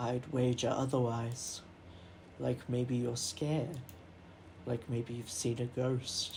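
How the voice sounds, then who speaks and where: A put-on character voice, creaky and low-to-middle in pitch, monotone and flat, at a fairly slow pace with long, frequent pauses over clear background noise. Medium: game stream. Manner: boastful, old-fashioned.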